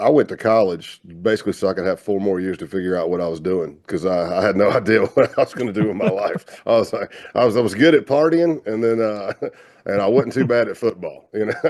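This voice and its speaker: A man speaks in a fairly low pitch. His intonation is lively. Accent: Southern US. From US South, South Carolina. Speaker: retired FBI undercover agent. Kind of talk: interview conversation. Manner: casual, relaxed.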